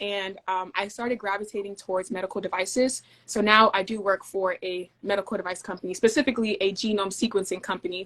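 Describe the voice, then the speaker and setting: This woman talks at a very fast pace with a medium pitch and fairly even intonation. She has an American accent. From US (moved from Denmark at age eight). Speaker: field service engineer. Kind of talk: interview conversation.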